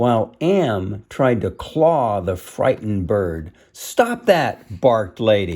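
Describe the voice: Straightforward, unadorned reading aloud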